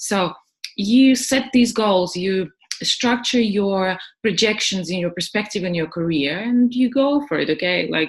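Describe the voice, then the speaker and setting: With a non-native accent, a woman at medium pitch speaks at a fairly slow pace, somewhat breathy and with lively intonation. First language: not English. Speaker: English teacher and webinar presenter. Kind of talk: webinar presentation. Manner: halting, many fillers.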